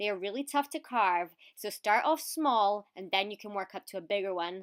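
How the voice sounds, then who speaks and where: In a Scottish accent, a woman speaks in an animated tone with lively intonation, recorded dry and close with no echo on a very clean track with a silent background. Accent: mild Scottish. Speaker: video presenter. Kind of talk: tutorial.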